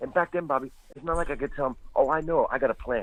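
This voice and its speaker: A man talks at a very fast pace. There is noticeable background noise behind him. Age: 60s. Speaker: stand-up comedian. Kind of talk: casual chat.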